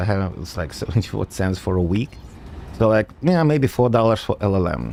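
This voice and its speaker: A man with a non-native accent speaks at a moderate pace with lively intonation. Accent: noticeable foreign. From Soviet Union, raised mostly in United States. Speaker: gaming streamer and software developer. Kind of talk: casual live-stream chat. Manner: casual with frequent fillers (uh, um).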